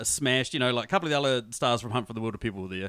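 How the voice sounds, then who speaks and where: A man with a New Zealand accent, lively intonation and a bright, sharp tone. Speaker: podcaster, movie reviewer. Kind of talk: casual chat. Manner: animated.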